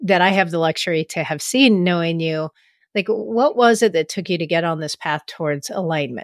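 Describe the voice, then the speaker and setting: On a very clean recording with a silent background and a dry, close sound with no echo, a woman uses an ordinary speaking voice at a fairly low pitch with ordinary pitch variation. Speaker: podcast host and coach. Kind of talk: interview conversation.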